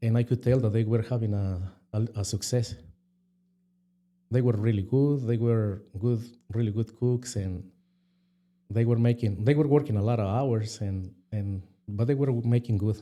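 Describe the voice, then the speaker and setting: Against a silent background on a very clean recording, a man with a Mexican accent and a dark, mellow tone speaks at a moderate pace in a medium pitch, with fairly even intonation and long, frequent pauses. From Mexico. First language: Spanish. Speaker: restaurant co-owner. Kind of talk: interview. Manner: halting.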